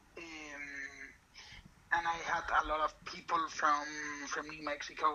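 Spoken with a Spanish accent, the voice comes through noticeable background noise. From Spain. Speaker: law student and writer. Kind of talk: casual interview. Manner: halting, many repetitions.

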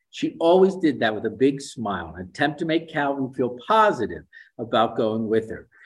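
Over a silent background on a very clean recording, a man with vocal fry speaks at a fairly quick pace with very wide pitch swings. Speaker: speech language pathologist and author. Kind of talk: interview with reading aloud. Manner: enthusiastic.

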